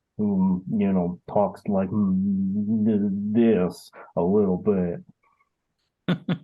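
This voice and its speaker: Using a put-on character voice, a man drawls at a very slow pace in a fairly low pitch, with long, frequent pauses. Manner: slow, drawling.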